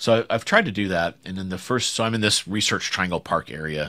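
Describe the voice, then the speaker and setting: Speaking at a very fast pace, a man has a bright, sharp tone and ordinary pitch variation on a very clean recording with a silent background. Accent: American. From US South. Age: 50s. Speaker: startup founder and CEO. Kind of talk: interview.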